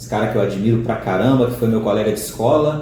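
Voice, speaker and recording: A man talks at a fairly quick pace. Noticeable background noise and audible room echo come through. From Minas Gerais, Brazil (Ipatinga). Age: 40s. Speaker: teacher of the blind. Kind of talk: interview. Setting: seated beside the interviewer, on camera.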